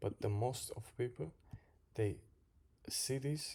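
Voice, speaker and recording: Somewhat breathy and with a non-native accent, a man speaks at a very slow pace with ordinary pitch variation. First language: not English. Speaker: crypto trader and drywall worker. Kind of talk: chart analysis video. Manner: halting, repeats words.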